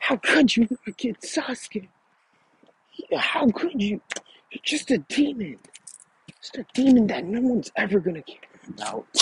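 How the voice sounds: A man's put-on character voice, high-pitched with big pitch swings and a husky, rough edge, with long, frequent pauses in a dry, close sound with no echo. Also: fairly slow pace.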